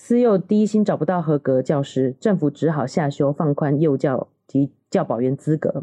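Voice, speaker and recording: In a dry, close sound with no echo, a woman with a very deep, low pitch and a dark, mellow tone talks at a moderate pace with lively intonation. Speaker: nutritionist and parenting podcast co-host. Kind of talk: casual chat.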